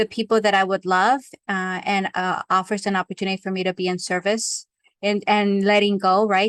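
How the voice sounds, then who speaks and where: Against a quiet background, a woman speaks in a monotone at a medium pitch and moderate pace, her intonation flat and the sound dry and close with no echo. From Mexico. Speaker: life coach and trainer. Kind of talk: interview conversation. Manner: hesitant, many fillers and repetitions.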